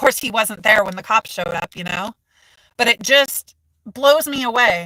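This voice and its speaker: A woman with an American accent speaks at a moderate pace in a fairly high pitch, her bright, sharp tone animated and her pitch variation ordinary. The sound is dry and close, with no echo. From United States. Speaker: mental health content creator. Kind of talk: live stream chat. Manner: loud.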